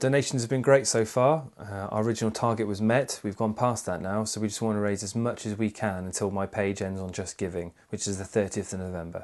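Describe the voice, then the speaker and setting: A man's very fast, fairly low-pitched delivery in a West Midlands accent, with fairly even intonation, hardly any pauses and a quiet background. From England, Worcestershire. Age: 20s. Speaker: charity fundraiser. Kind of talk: video statement to camera.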